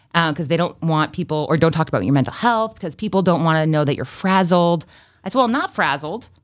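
Her fairly low voice races at a very fast pace as this woman speaks with lively intonation. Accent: American. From Massachusetts, Freetown near Fall River. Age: 30s. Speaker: former TV news anchor and marketing agency owner. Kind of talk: casual interview chat. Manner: fluent, polished broadcaster delivery.

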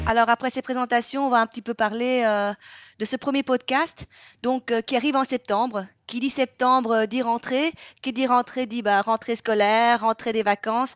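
Against a quiet background, a woman with a high pitch speaks at a moderate pace with fairly even intonation in a dry, close sound with no echo. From Vietnam. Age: 40s. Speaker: pastry podcast co-host, baking show contestant. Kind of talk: casual chat.

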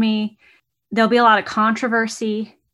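This woman's voice is fairly high in pitch, with a bright, sharp tone. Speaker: podcast co-host. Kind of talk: casual chat.

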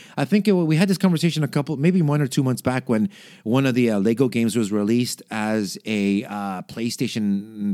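A man with very wide pitch swings, on a very clean recording over a silent background. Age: 30s. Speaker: podcast host. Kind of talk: casual solo chat. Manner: casual, many fillers and restarts.

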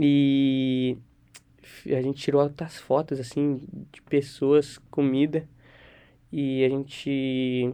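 The man's medium-pitched voice stays monotone, with flat intonation throughout. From Brazil. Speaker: university student. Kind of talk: casual interview chat.

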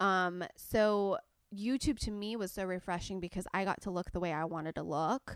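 This woman talks at a moderate pace in a medium pitch. The sound is dry and close, with no echo. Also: ordinary pitch variation, very clean recording, silent background. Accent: Californian. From Southern California. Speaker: beauty YouTuber. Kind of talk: casual chat.

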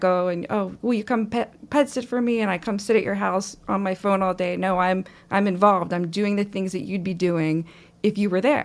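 A woman with an ordinary speaking voice and fairly even intonation, on a very clean recording with a silent background. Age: 40s. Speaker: pet sitter. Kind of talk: interview.

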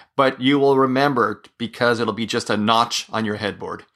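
A man talks in a plain, everyday voice at medium pitch and a moderate pace. The background is quiet. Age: 40s. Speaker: solo podcaster on mental health. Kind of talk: personal monologue.

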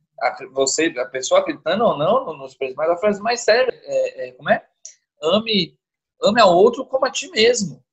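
The man's high voice swings very widely in pitch as he talks at a moderate pace. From São Paulo. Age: 40s. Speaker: podcast guest. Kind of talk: casual chat. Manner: talkative.

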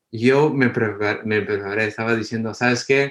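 A man talks at a moderate pace and a medium pitch, with fairly even intonation over a quiet background. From Los Angeles, US, Guatemalan parents. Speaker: ophthalmologist. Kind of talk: interview. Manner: halting.

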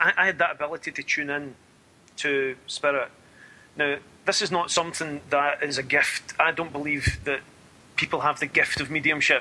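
A man with a Scottish accent speaks at a moderate pace in a fairly high pitch, his intonation fairly even and broken by long, frequent pauses. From Scotland. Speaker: spiritualist medium. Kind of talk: interview.

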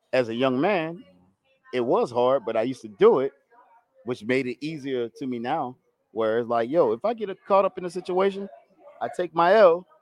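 With very wide pitch swings, the speech runs at a fairly quick pace in a dry, close sound with no echo. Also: man. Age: 20s. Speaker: podcast co-host. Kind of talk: casual chat.

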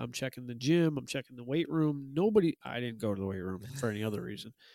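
A man with an American accent, medium pitch and a dark, mellow tone at a very fast pace, in a very clean recording with a silent background and a dry, close sound with no echo. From US Northeast. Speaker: professional wrestler and podcast host. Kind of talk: casual chat.

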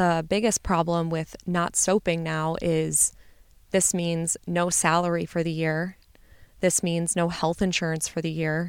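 The recording is very clean, with a silent background. A woman speaks in a fairly low pitch with monotone, flat intonation. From US Midwest. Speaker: podcast host, medical graduate. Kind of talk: personal storytelling monologue. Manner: casual, filler-heavy.

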